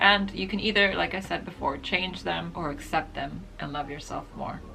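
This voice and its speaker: A woman's voice carries audible room echo, with music playing in the background. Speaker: lifestyle and beauty vlogger. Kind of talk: casual advice vlog.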